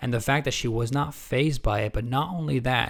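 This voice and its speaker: In a plain, everyday voice, a man talks at a fairly quick pace with medium pitch and ordinary pitch variation, the recording very clean with a silent background. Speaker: channel host introducing a guest story. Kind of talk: casual video introduction.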